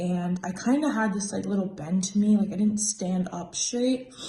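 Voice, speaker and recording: Somewhat breathy, with a dark, mellow tone, a woman speaks at a medium pitch. Her pace is moderate, and her pitch varies in an ordinary way. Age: 20s. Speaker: spine surgery patient. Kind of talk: patient testimonial. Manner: casual, conversational.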